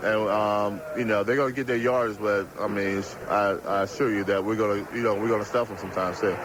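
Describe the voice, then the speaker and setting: A man speaks at a fairly quick pace with hardly any pauses, his pitch fairly low. His intonation stays fairly even over noticeable background noise. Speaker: professional football linebacker. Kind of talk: interview answer.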